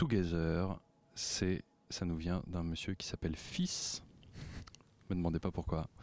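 Gruff yet dark and mellow in tone, a man's voice comes through with a dry, close sound and no echo. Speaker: radio music columnist. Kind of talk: casual radio chat.

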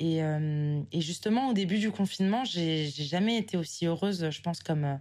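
Here a woman with a fairly low pitch talks at a fairly slow pace. Her pitch variation is ordinary. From northern France, southern Oise (Picardy). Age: 20s. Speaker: listener leaving voice message. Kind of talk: recorded voice message. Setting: voice memo sent to show. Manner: hesitant, many fillers.

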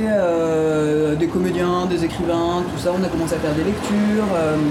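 A woman at medium pitch, with music in the background. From Ardennes, France. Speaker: improvising double bassist. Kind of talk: interview. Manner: halting.

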